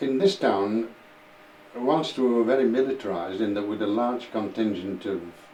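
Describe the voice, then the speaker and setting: A Yorkshire accent at a moderate pace, with noticeable background noise. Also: man. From northern England, Huddersfield, West Yorkshire. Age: 80s+. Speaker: war-time eyewitness. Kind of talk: oral history interview. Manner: halting, with repetitions.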